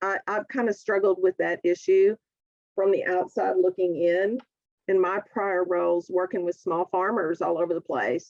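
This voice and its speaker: A woman speaks at a moderate pace in a medium pitch. The sound is dry and close, with no echo. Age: 60s. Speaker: government lawyer, keynote speaker. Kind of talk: conference Q&A. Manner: animated storytelling.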